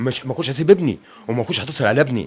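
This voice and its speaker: A man with an Egyptian accent talks at a fairly quick pace. His intonation is lively. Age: 60s. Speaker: bereaved father. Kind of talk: interview testimony. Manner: halting.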